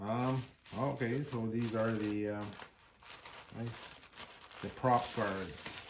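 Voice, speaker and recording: A man at medium pitch and a very slow pace, with long, frequent pauses, fairly even intonation and audible room echo. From French Canada (Quebec region). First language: French. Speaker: YouTuber, jeep and drone hobbyist. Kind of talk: unboxing video. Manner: hesitant, many fillers.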